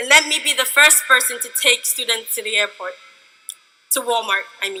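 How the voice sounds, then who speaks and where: At a moderate pace, a woman speaks in a raised, projected voice with ordinary pitch variation. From Ghana. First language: a Ghanaian language. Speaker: student speaker. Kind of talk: commencement speech. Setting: stage with audience.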